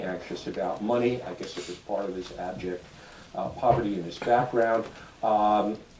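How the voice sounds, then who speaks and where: Audible room echo and noticeable background noise fill this recording. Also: man. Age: 70s. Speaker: ethical society leader. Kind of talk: sermon.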